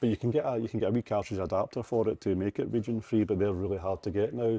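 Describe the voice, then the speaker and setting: With a Scottish accent, a man races along at a very fast pace in a fairly low, dark, mellow voice, his intonation fairly even and his loudness very even, recorded dry and close with no echo. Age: 40s. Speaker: retro game shop owner. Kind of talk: casual chat. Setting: shop.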